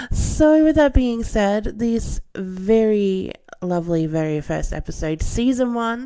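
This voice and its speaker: Her voice has a dark, mellow tone and lively intonation. The woman talks at a very slow pace. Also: fairly high pitch for a woman. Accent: Australian. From Australia. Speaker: podcast host, film reviewer. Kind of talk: solo podcast monologue.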